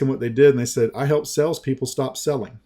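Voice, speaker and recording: With a Southern US accent, a man speaks in a dark, mellow tone with a fairly high pitch. His intonation stays fairly even. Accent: slow Southern US. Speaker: sales and marketing trainer. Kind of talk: sales pitch in a training webinar.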